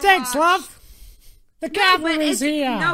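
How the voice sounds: This is a put-on character voice that sounds female, pitched high, in a Cockney accent. The Cockney accent is part of the act. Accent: exaggerated Cockney.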